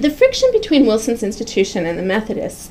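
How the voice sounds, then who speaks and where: A woman talks over noticeable background noise. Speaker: professor giving a lecture. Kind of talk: lecture. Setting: seminar room with audience.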